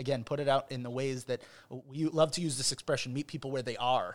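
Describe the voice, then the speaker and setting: A man uses a plain, everyday voice with an American accent, talking at a fairly quick pace with ordinary pitch variation. The recording is very clean, with a silent background. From Chicago, US Midwest. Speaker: rabbi. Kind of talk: casual interview chat.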